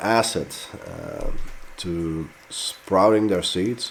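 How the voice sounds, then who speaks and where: Through noticeable background noise, a man with a Dutch accent speaks at a very slow pace. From Netherlands. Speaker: pepper grower and fertilizer maker. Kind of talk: tutorial. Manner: casual, with frequent fillers.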